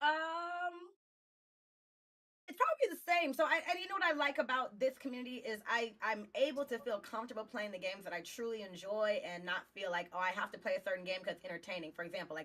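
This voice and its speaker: Speaking very fast with a Texas accent, a woman uses a fairly high pitch, very wide pitch swings and big swings in loudness. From Southeast Texas. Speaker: game streamer. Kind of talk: casual chat. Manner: articulate.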